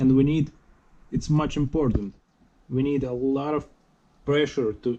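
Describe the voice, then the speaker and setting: In a non-native accent, a man talks at a moderate pace with fairly even intonation. His tone is dark and mellow, over light background noise. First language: not English. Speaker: DIY electric bike builder. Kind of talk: tutorial. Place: home room. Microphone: phone near.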